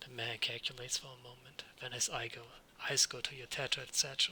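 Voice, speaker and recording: A man's bright, sharp-toned voice at a moderate pace. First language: not English. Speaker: let's read gamer. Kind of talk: reading game text aloud.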